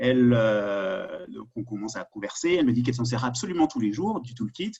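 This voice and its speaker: A man in a Parisian accent at a medium pitch, with ordinary pitch variation and a moderate pace. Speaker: security sector governance expert. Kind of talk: webinar presentation. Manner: halting, many fillers.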